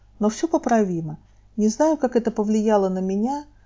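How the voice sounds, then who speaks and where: Speaking in a normal speaking voice, a woman keeps a moderate pace, a fairly high pitch and lively intonation. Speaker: storyteller, mediator. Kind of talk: memoir storytelling reading.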